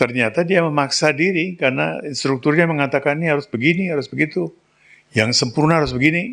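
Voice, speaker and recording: Over a quiet background, a man with a fairly high pitch and vocal fry speaks at a very fast pace. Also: ordinary pitch variation. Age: 60s. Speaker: spiritual teacher. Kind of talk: spiritual talk.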